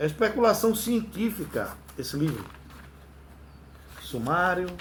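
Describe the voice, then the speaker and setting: A man's pitch varies in an ordinary way while his pace stays fairly slow. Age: 60s. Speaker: religious and ufology video host. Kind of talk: casual religious monologue. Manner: halting.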